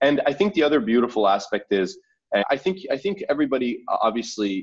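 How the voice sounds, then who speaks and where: With a Canadian accent, a man speaks at a fairly quick pace and a fairly high pitch, his pitch swinging very widely while his loudness stays very even. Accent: sounds natively Canadian. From Saudi Arabia, then Canada from age 11. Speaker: startup founder. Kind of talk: interview. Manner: articulate, repeats words when starting sentences.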